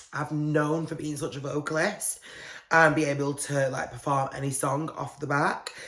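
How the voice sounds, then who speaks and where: A man with a British accent talks at a fairly high pitch in a monotone, flat delivery. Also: moderate pace. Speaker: podcast host. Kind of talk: casual chat.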